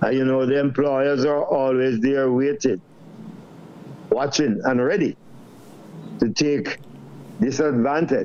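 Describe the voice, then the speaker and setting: Amid noticeable background noise, a man speaks at a fairly slow pace in a fairly high pitch, with long, frequent pauses. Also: ordinary pitch variation, very even loudness. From Jamaica. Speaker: trade unionist. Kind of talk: panel discussion.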